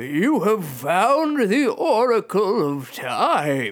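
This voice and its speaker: A man's put-on character voice, high-pitched, with very wide pitch swings and a very slow pace. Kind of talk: mock-mystical pronouncement. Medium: read story. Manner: firm, solemn, oracular.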